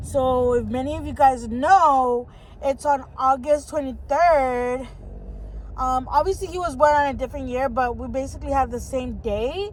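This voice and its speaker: This woman speaks with an American accent at a fairly slow pace. Audible room echo fills the recording. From Southern California, San Fernando Valley. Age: 20s. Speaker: vlogger. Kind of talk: casual chat. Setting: in a car. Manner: hesitant with many fillers.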